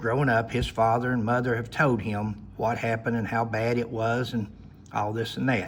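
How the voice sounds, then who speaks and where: A man is speaking. He has an Appalachian accent. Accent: Appalachian Southern US. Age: 60s. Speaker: retired law enforcement officer. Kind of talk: personal storytelling monologue. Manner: halting.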